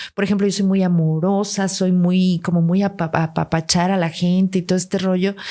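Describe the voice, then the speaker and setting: The background is silent and the recording very clean. A woman talks at a moderate pace in a medium pitch. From Guatemala, raised largely in Mexico City. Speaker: podcast guest. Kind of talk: interview. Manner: animated.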